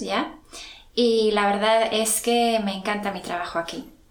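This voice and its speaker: Over noticeable background noise, a woman talks very slowly in a fairly high pitch. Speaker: secondary school teacher. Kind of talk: interview. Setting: school.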